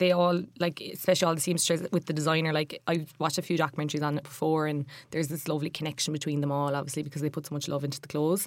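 On a very clean recording with a silent background, a woman with a very deep, low pitch and an Irish accent talks very fast with hardly any pauses. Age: 20s. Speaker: fashion staff writer. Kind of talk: casual chat. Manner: animated.

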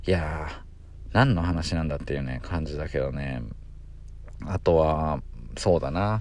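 A very deep, low male voice with vocal fry and a relaxed tone, ordinary pitch variation, a fairly slow pace, long, frequent pauses and audible room echo. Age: 20s. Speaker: podcast co-host. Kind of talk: solo casual monologue. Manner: rambling, relaxed.

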